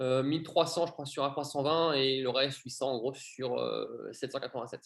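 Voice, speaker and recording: This man's voice has a fairly high pitch and vocal fry. He keeps a fairly even intonation at a moderate pace. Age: 30s. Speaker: airline pilot. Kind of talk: interview.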